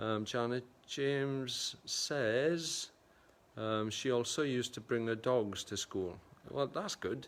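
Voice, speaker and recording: A man speaks in a South Welsh accent. He talks at a very slow pace. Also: medium pitch for a man, ordinary pitch variation, very clean recording, silent background. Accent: south Wales Welsh English. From Wales, Gwendraeth Valley. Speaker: photographer and livestream host. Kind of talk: casual livestream chat reading viewer comments. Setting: livestream from a primary school.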